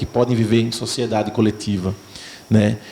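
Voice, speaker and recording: At a moderate pace, a man speaks with a Pernambuco accent. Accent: Northeastern Brazilian (Pernambuco). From Pernambuco, Brazilian Northeast. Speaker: actor. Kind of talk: festival Q&A answer.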